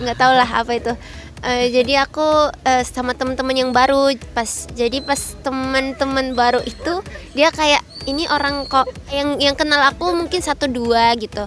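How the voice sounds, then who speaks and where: Music plays behind a woman whose high voice keeps fairly even intonation at a moderate pace. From Egypt, Alexandria. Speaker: interviewee. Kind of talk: casual interview chat.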